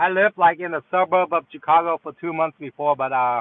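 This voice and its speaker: At a fairly quick pace, a man with a slight Vietnamese accent speaks with ordinary pitch variation. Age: 30s. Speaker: delivery driver and gig-work streamer. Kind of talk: casual live stream chat. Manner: halting, many fillers.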